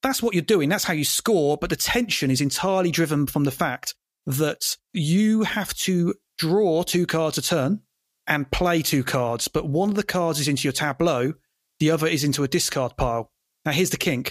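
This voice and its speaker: On a very clean recording with a silent background, a man with a British accent speaks at a moderate pace and fairly high pitch. His intonation is lively while his loudness stays very even. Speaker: guest podcaster. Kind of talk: casual chat.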